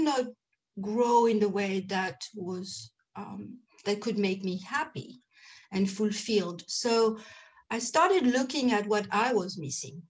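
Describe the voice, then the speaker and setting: Very slowly, a woman speaks with a medium pitch and ordinary pitch variation. Her voice is somewhat breathy. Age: 50s. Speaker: end of life doula and menopause coach. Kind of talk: interview. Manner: hesitant, many fillers.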